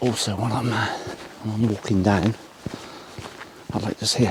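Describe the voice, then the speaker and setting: Fairly even intonation over noticeable background noise. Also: man. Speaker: photographer. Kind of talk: casual vlog narration. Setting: outdoors.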